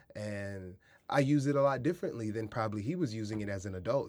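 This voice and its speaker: On a very clean recording with a silent background, a man with an American accent speaks in a fairly low pitch with ordinary pitch variation. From US Midwest, Kansas City, Missouri; teen years in San Diego. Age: 30s. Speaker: artist and educator. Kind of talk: casual interview. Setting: studio.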